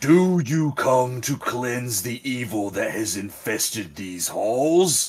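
A man puts on a booming character voice at a medium pitch, speaking very slowly with hardly any pauses.

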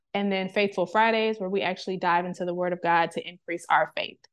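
Against a quiet background, a woman has a plain, everyday voice. Her pitch is medium, with ordinary pitch variation. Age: 20s. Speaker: faith podcast host. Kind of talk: devotional teaching monologue. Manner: conversational, with filler words.

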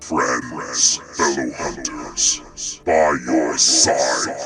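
A man's booming, put-on character voice at a very slow pace, over loud background noise. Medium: actual play. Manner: imperious, menacing.

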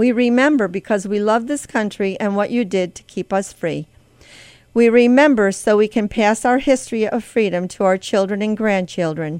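A woman with a normal speaking voice talks at a fairly high pitch and moderate pace. Her pitch variation is ordinary, and the background is quiet. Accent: American. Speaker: radio host. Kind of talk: prayer; scripted devotional reading. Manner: fervent; solemn.

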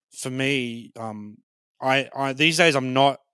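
A man with an Australian accent and a bright, sharp tone, on a very clean recording with a silent background. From Brisbane, Australia. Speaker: comedian. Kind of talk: casual interview chat. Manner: halting, many fillers and repeats.

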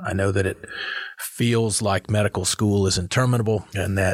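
With an American accent, a man speaks in a fairly low pitch, somewhat breathy and with monotone, flat intonation. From US, North Carolina (Chapel Hill). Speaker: cardiologist and professor. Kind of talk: casual interview. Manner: halting, repeats words.

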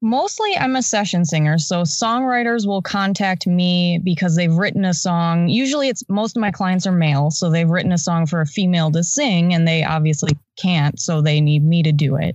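A woman speaks at a fairly low pitch in a relaxed tone, her intonation lively. Her loudness stays very even and her pace moderate. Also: hardly any pauses. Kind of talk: casual chat. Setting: remote call during quarantine. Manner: introverted, relaxed.

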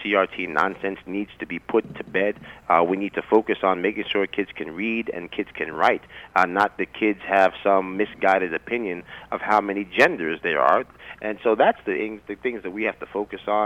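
A man with an unremarkable speaking voice and fairly low pitch talks at a moderate pace with fairly even intonation. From Yonkers, New York. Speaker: political candidate. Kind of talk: interview.

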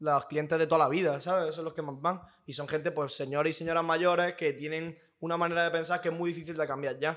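Speaking at a very fast pace, a man has a fairly high pitch. His intonation is monotone and flat. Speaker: podcast host. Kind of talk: casual chat.

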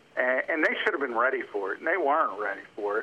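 A man talks while noticeable background noise carries on around his voice. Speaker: NFL analyst. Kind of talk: casual interview.

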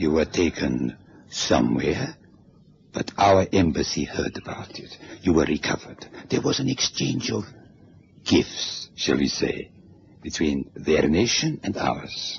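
A man's put-on character voice, extremely low-pitched and husky with a rough edge and vocal fry, at a fairly slow pace with lively intonation

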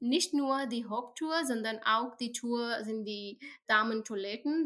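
A woman speaks at a very slow pace. Her voice is high-pitched with ordinary pitch variation. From India. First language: not German; learning German for about a year (speaking German). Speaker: tech NGO employee with a rare health condition. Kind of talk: interview. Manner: halting, many fillers in a new language.

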